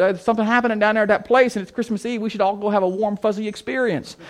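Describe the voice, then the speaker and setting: A high-pitched man with a Midwestern American accent at a very fast pace, over a quiet background. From US Midwest, big city. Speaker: church planting trainer. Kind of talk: conference talk.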